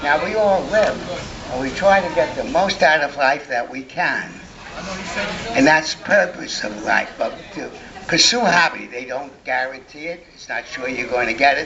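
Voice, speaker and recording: A man's fairly high voice with lively intonation, audible room echo and noticeable background noise. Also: moderate pace. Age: 90s. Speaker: speaker at a memorial event. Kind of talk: speech to an audience. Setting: gathering with live audience. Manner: halting.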